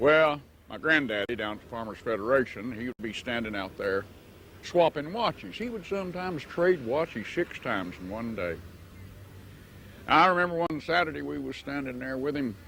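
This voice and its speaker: This man, with an Appalachian accent, has a medium pitch and a bright, sharp tone, speaking at a moderate pace. His pitch swings very widely and his loudness shifts a lot, on a very clean recording with a silent background. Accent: Appalachian Southern US. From US South, western North Carolina mountains. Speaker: storyteller. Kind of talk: storytelling. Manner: folksy, conversational.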